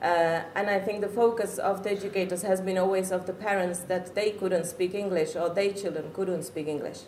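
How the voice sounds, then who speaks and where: A woman with a Czech accent speaks at a fairly quick pace and medium pitch, hardly pausing, in a monotone, flat intonation. Audible room echo and noticeable background noise fill the recording. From Czech Republic. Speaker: parent. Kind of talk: talk to an audience. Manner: halting.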